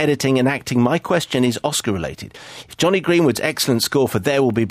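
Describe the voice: Simply plain reading aloud.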